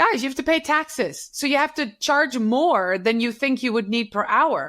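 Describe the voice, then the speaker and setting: A woman's bright, sharp, high-pitched voice with a Dutch accent, moderate pace and lively intonation, on a very clean recording with a silent background. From Netherlands. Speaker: social media consultant. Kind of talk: interview. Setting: podcast. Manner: animated.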